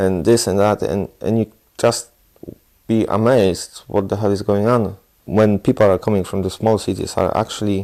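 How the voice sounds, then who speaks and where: This man's voice is fairly low in pitch, with a dark, mellow tone. He talks at a moderate pace in a monotone, flat delivery. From southeast Poland. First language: Polish. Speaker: Polish immigrant interviewee. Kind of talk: interview.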